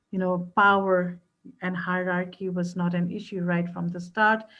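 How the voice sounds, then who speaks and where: A woman with a non-native accent, somewhat breathy and medium in pitch, at a fairly slow pace against a quiet background. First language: not English. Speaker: researcher. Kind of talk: panel discussion.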